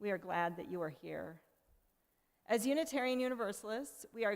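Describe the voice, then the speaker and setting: A woman with a fairly high pitch uses a normal speaking voice at a moderate pace. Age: 60s. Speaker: worship associate. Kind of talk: church service welcome and call to worship. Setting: church.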